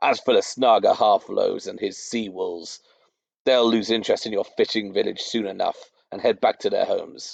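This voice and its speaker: A man puts on a booming character voice at a moderate pace, with a dry, close sound and no echo. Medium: read story.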